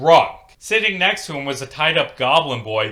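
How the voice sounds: Natural reading voice throughout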